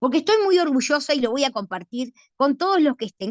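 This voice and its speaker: Her pitch high and swinging very widely, a woman talks at a fairly quick pace in a dry, close sound with no echo. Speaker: law professor. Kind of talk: lecture. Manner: fast.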